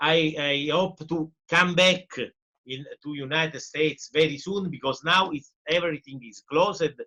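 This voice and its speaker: A man with an Italian accent talks very slowly at a fairly high pitch, with ordinary pitch variation. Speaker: professor and journalist. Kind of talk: interview. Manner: halting.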